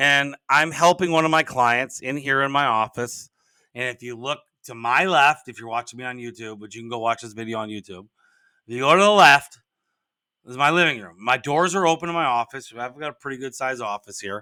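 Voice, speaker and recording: A man talks at a fairly quick pace and medium pitch, with ordinary pitch variation and a bright, sharp tone. His loudness swings widely, and the very clean recording sounds dry and close with no echo and a silent background. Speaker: podcast host and business coach. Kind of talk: casual podcast monologue. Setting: home office. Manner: rambling, halting with many restarts.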